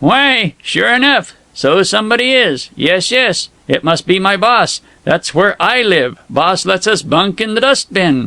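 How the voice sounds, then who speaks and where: This man uses a put-on character voice pitched high, talking at a fairly slow pace. His loudness stays very even, and the sound is dry and close with no echo. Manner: excited, slightly hysterical.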